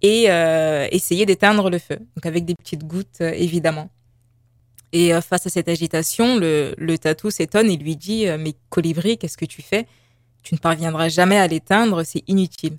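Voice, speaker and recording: Here is an unremarkable speaking voice from a woman with a fairly low pitch. She talks at a moderate pace with ordinary pitch variation, in a dry, close sound with no echo. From Paris, France. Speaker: visual artist and graphic designer. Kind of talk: radio interview.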